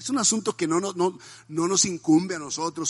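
Music plays behind a man speaking at a moderate pace with ordinary pitch variation. The sound is dry and close with no echo. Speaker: pastor. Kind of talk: sermon.

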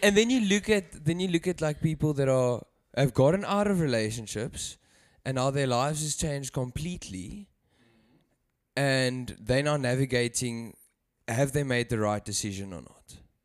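A man with a plain, everyday voice and medium pitch speaks at a moderate pace with lively intonation and big swings in loudness. The recording is very clean, with a silent background. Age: 20s. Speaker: churchgoer suggesting a topic. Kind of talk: casual faith discussion.

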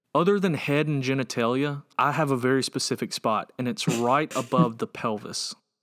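A man with an American accent speaks in an ordinary speaking voice at medium pitch, with ordinary pitch variation and hardly any pauses, on a very clean recording with a silent background. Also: moderate pace. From US South, Georgia. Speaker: podcast co-host. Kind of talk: casual chat.

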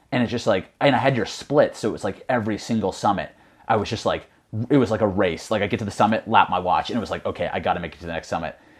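A man with an American accent, medium pitch and ordinary pitch variation, at a very fast pace. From US Northeast, Connecticut. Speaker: mountain runner. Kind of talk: casual chat.

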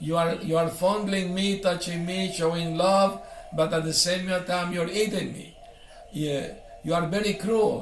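A man's high-pitched, monotone voice at a fairly slow pace, flat in intonation, with noticeable background noise and audible room echo. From Syria and Venezuela. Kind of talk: interview about life story.

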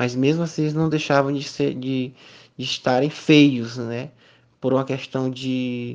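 A man at medium pitch and moderate pace. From Piauí, Brazil (Miguel Alves). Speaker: visual artist and university professor. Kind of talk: interview. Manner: hesitant, frequent fillers.

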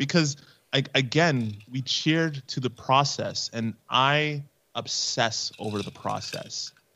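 A man with a Canadian accent has a normal speaking voice and a fairly high pitch. He talks at a fairly slow pace with ordinary pitch variation. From Canada. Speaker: podcaster and esports veteran. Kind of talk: casual interview chat.

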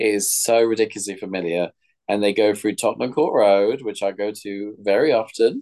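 In a London accent, a man talks at a fairly quick pace, his fairly low voice dark and mellow in tone. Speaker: podcast co-host. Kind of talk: casual chat. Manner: animated.

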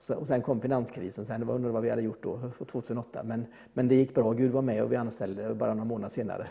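A man speaks very fast in a dark, mellow tone with hardly any pauses. His delivery is monotone and flat, with vocal fry. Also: medium pitch for a man. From Gothenburg, Sweden. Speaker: electrician. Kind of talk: interview testimony.

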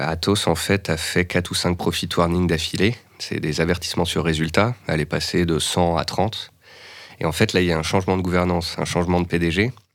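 Very deep and low, this is a man's voice. His intonation stays fairly even. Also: moderate pace. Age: 30s. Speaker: stock market analyst. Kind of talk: casual interview.

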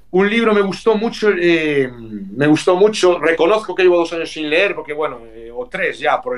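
A man with a plain, everyday voice talks at a moderate pace, his intonation lively and his loudness swinging widely. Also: hardly any pauses. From Vigo, Galicia, Spain. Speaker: retired professional footballer. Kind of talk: interview.

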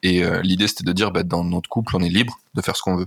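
A man talks at a very fast pace with a fairly low pitch and ordinary pitch variation. The sound is dry and close, with no echo. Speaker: podcast host. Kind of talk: casual interview chat. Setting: Airbnb room, remote recording.

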